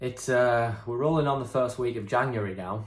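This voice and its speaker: A man talks at a medium pitch, his voice somewhat breathy. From northeast England (Hartlepool). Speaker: vlogger. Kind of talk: casual vlog monologue. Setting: at home, in his room. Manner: hesitant, many fillers.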